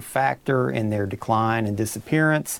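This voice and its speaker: A man with an Appalachian accent. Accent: eastern Kentucky Appalachian. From Pike County, eastern Kentucky. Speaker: fisheries biologist. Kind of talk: expert interview.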